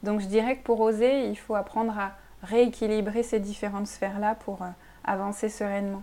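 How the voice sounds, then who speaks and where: Big swings in loudness mark a woman's fairly high-pitched voice. Her intonation is monotone and flat at a moderate pace. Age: 30s. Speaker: sophrologist. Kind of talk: casual interview. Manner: hesitant, many fillers.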